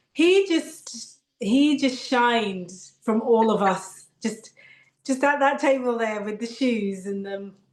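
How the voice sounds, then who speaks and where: In a British accent, a woman with a fairly high pitch and lively intonation speaks at a very slow pace. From Britain. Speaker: actress. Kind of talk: interview.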